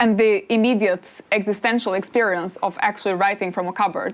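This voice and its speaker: Over noticeable background noise, a woman of medium pitch speaks at a fairly quick pace with fairly even intonation. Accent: Albanian. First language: Albanian. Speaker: political philosopher and author. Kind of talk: interview on stage.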